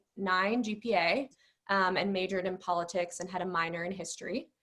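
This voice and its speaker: A woman speaks at a moderate pace in a bright, sharp tone, her medium pitch moving with ordinary variation. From Mexico. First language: Spanish. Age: 30s. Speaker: business school applicant. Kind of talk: interview.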